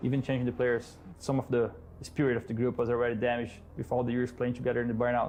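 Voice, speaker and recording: The speech comes at a very fast pace. It carries a Portuguese accent. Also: man. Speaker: esports player. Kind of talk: documentary interview.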